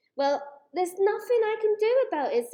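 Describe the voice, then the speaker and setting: Squeaky and extremely high-pitched, a woman's put-on character voice runs at a fairly quick pace. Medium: read story. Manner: playful, cheerful.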